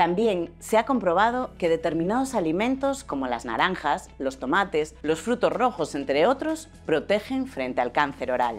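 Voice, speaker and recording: A woman speaks at a moderate pace with hardly any pauses, her pitch fairly low. Faint music plays in the background. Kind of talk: informational health interview. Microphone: lapel.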